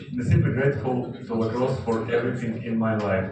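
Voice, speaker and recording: The clip carries audible room echo along with noticeable noise in the background. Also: man. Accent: Russian. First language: Russian. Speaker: sports federation president. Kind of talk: speech. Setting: felicitation event with audience. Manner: halting.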